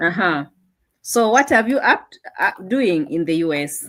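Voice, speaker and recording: Speaking at a very slow pace, a woman with a Kenyan accent and a fairly low pitch makes very wide pitch swings. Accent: Kenyan, unchanged. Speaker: online show host. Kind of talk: interview.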